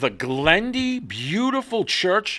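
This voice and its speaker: Against a quiet background, a man speaks in a bright, sharp tone with very wide pitch swings. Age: 60s. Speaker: talk show host. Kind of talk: casual chat. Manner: halting, many fillers.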